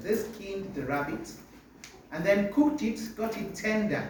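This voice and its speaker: The speech is loud and fairly slow, with audible room echo. Noticeable background noise runs underneath. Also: man. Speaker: biology teacher. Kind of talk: testimony.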